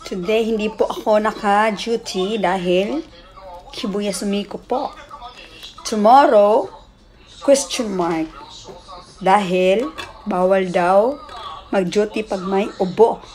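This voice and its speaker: A woman talks at a very slow pace with long, frequent pauses and ordinary pitch variation, faint music playing in the background. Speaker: home vlogger. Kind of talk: casual mukbang vlog chat. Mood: cheerful, playful. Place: home room. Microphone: phone near.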